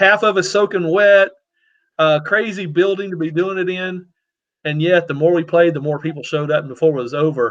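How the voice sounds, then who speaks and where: A man with a Southern US accent, high-pitched, ordinary pitch variation, at a fairly quick pace. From US South, Louisiana. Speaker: web show host. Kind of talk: casual chat.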